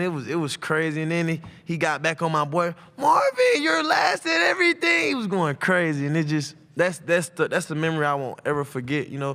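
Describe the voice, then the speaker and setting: The speaker has an American accent and a fairly quick pace, with noticeable background noise behind them. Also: man. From Atlanta, Georgia (Westlake). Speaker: college football player. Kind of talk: press conference interview. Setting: media day press room. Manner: loud.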